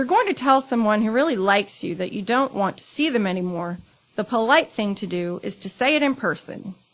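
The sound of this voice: The unforced reading voice carries a lively intonation.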